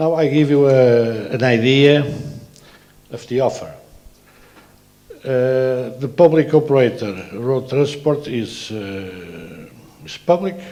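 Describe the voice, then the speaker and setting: A man's very slow speech with lively intonation, long, frequent pauses and audible room echo. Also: medium pitch for a man. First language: Portuguese. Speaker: transport authority president. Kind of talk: conference presentation. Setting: conference. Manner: halting, many filler sounds.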